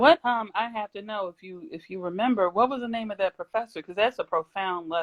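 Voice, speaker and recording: A woman with a plain, everyday voice and medium pitch talks at a fairly quick pace with hardly any pauses. Her pitch varies in an ordinary way, her loudness swings a lot, and the sound is dry and close with no echo. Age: 30s. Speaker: live-stream interview host. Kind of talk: casual interview chat.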